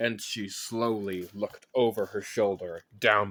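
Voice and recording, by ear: The text is read aloud in a natural voice.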